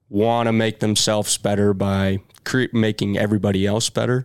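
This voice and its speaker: A man's fairly low, monotone voice with an American accent, flat in intonation, dry and close with no echo, on a very clean recording with a silent background. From California. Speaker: small business owner. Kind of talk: casual interview.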